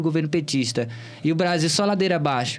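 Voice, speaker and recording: Speaking very fast with a Bahian accent, a man keeps ordinary pitch variation. Music plays in the background, and room echo is audible. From Bahia, Brazil (Cícero Dantas, interior). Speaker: political candidate. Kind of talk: interview.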